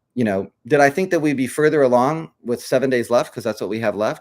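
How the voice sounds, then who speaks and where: In a very clean recording with a silent background and a dry, close sound with no echo, a man speaks at a very fast pace with lively intonation. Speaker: crypto project leader. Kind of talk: live stream update. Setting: live stream. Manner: hesitant fillers.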